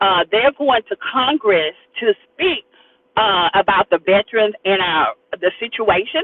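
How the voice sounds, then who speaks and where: A woman with an American accent speaks in an ordinary speaking voice at a medium pitch, her loudness very even and her intonation lively. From US South. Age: 60s. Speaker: community leader and academy founder. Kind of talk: interview conversation. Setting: in a car.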